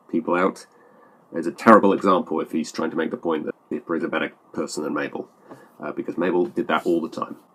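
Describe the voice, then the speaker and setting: A man with a British accent and a very deep, low pitch speaks at a very fast pace. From Britain. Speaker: YouTuber responding to comments. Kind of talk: reading and responding to comments. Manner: hesitant, many fillers.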